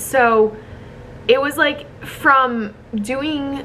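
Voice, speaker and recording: Ordinary pitch variation marks this voice with an American accent, heard over noticeable background noise. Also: woman. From US Midwest, Chicago. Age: 20s. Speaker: content creator. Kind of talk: casual vlog monologue. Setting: hotel room. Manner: chatty, many fillers.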